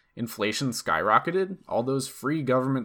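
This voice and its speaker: A man's normal speaking voice with an American accent, medium pitch and lively intonation at a moderate pace, on a very clean recording with a silent background. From US East Coast. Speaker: political podcast host. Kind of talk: political commentary monologue; scripted opinion essay read aloud.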